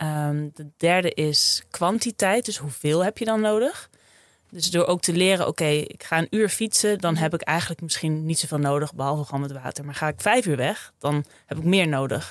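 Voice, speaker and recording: This woman has an unremarkable speaking voice, pitched fairly low. Her pace is moderate and her pitch varies an ordinary amount. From Friesland, Netherlands. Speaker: sports dietitian. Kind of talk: interview.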